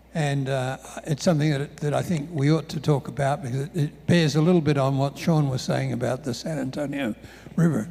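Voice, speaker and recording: Somewhat breathy and dark, mellow in tone, a man speaks at a fairly quick pace with a fairly high pitch and fairly even intonation. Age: 70s. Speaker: professor. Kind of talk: panel discussion. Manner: halting, many repetitions and fillers.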